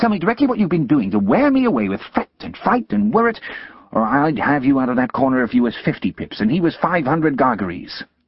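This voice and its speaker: A man speaks in a put-on character voice, shrill and fairly high-pitched. His pitch swings very widely and his pace is fairly quick. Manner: shrill, scolding, sharp-tongued.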